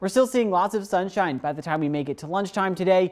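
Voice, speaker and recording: The background stays quiet. A man talks. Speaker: TV meteorologist. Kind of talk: televised morning weather forecast. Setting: TV studio. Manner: upbeat, friendly presenter walking viewers through the map; conversational with a light laugh. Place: studio.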